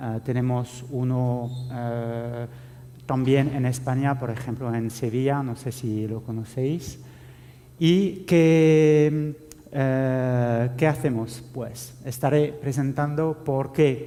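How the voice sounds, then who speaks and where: Audible room echo surrounds a man with a French accent speaking very slowly at a medium pitch with fairly even intonation. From France. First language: French (speaking Spanish). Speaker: IT security officer. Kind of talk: conference talk. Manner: halting, many fillers.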